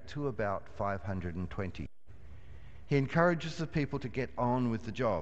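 Very slowly, a man speaks with very wide swings in pitch. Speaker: minister. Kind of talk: sermon. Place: church.

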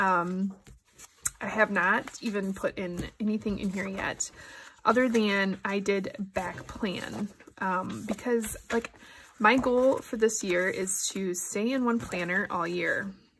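Speaking at a slow pace, a woman has a fairly bright, nasal tone with a slightly husky edge and fairly even intonation. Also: medium pitch for a woman.

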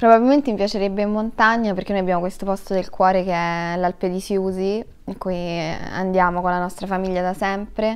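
A woman's fairly quick speech with fairly even intonation. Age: 20s. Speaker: actress; actress interviewee. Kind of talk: interview; interview answer. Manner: halting. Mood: relaxed, thoughtful. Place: studio.

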